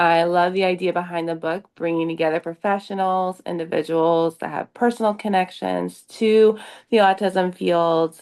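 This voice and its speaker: Here a woman with an American accent has an ordinary speaking voice, fairly low in pitch, with fairly even intonation and hardly any pauses. She keeps a moderate pace against a quiet background. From New Jersey. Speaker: behavior analyst and author. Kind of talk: panel discussion.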